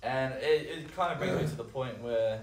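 At a fairly quick pace, a man with an Australian accent speaks with ordinary pitch variation amid audible room echo and noticeable background noise. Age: 20s. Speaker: vertical jump coach. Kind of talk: casual chat.

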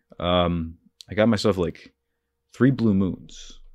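Speaking with an American accent, a man talks at a fairly slow pace with ordinary pitch variation on a very clean recording with a silent background. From New Jersey. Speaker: podcast host. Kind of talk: solo monologue, casual. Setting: home mic recording. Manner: halting, many fillers.

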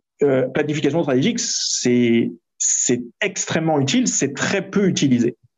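Pitched fairly high, a man talks at a fairly slow pace. His pitch swings very widely while his loudness stays very even. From France. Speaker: entrepreneur and startup coach. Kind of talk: interview.

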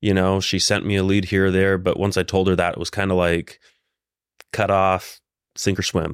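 A man talks with a very deep, low pitch. The recording is very clean, and the background is silent. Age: 20s. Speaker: real estate agent and entrepreneur. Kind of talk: casual interview.

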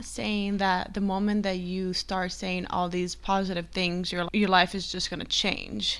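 A woman with a non-native accent and a medium pitch. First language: not English. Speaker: podcast host. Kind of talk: casual solo podcast monologue. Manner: casual, animated, profane.

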